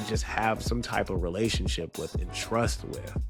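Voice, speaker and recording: There is music in the background. A man talks at a fairly slow pace. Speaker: wrestling commentator. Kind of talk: casual commentary video.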